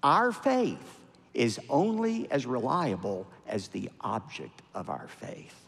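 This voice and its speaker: In an American accent, a man's pitch swings very widely up and down. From United States. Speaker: Baptist pastor and televangelist. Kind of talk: sermon. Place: church. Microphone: headset.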